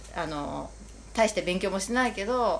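A woman speaks at a fairly low pitch. Her voice has vocal fry. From Japan, Kamakura. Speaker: shop owner. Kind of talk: casual chat.

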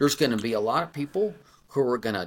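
A man with a fairly high pitch, very wide pitch swings and vocal fry. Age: 40s. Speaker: running coach. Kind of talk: casual chat. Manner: animated.

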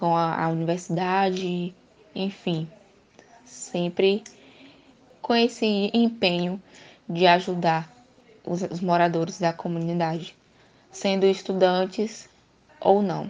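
A woman at a medium pitch with fairly even intonation, a very slow pace and long, frequent pauses. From Bahia, Brazil. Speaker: university student interviewer. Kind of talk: interview.

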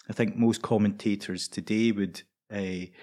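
A Scottish accent at a moderate pace, monotone and flat, in a very clean recording with a silent background. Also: man. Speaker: preacher. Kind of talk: casual chat.

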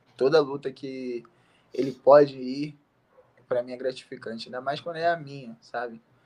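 A medium-pitched man speaks at a moderate pace with monotone, flat intonation. His loudness swings widely, and he takes long, frequent pauses. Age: 20s. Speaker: MMA fighter. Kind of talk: interview. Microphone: bad connection.

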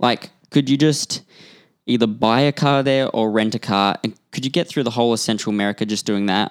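Fairly quick speech from a man with an Australian accent, medium pitch and ordinary pitch variation, in a very clean, dry, close recording with no echo and a silent background. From Western Australia. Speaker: podcast co-host. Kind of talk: casual chat.

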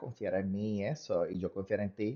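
A man speaking at a fairly quick pace. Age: 30s. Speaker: podcast co-host. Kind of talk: casual chat.

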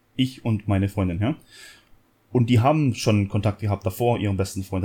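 A man's fairly low, somewhat breathy voice, dark and mellow in tone, at a fairly quick pace. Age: 30s. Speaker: podcast co-host. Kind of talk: casual chat.

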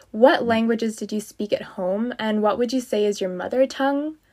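This is a plain, everyday voice moving at a fairly quick pace with ordinary pitch variation. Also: woman. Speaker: podcast host. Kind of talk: interview chat.

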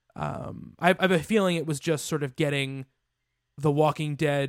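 This man has a normal speaking voice, fairly high in pitch with ordinary pitch variation. The very clean recording has a silent background and a dry, close sound with no echo. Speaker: podcast host. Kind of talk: casual chat.

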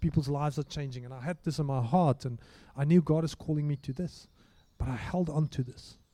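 At a moderate pace, a man speaks at medium pitch with a dark, mellow tone and fairly even intonation.

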